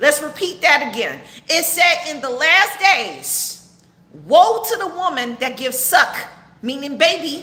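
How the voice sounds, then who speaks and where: Over noticeable background noise and audible room echo, a woman speaks at a fairly slow pace in a raised, projected voice, high-pitched, with lively intonation and an animated tone. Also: big swings in loudness. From Texas. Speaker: online preacher and commentator. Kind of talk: livestream commentary sermon. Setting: live stream. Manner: loud.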